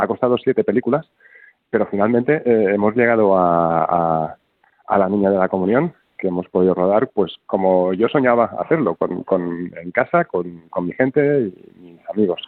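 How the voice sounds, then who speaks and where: Pitched fairly low, a man speaks at a moderate pace with lively intonation. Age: 40s. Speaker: film director. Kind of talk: interview. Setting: phone call.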